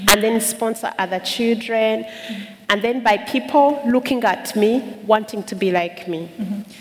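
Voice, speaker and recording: A woman's fairly high voice with fairly even intonation over noticeable background noise. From Uganda, Kisoro/Kigezi region. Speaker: charity worker and public speaker. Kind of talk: testimony.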